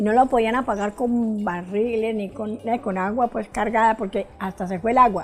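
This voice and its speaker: Over background music, a woman talks with hardly any pauses at a fairly high pitch and with fairly even intonation. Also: moderate pace. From Colombia, Quimbaya, coffee region. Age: 80s+. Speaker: elderly interviewee. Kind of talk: oral history testimony. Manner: halting, with self-corrections.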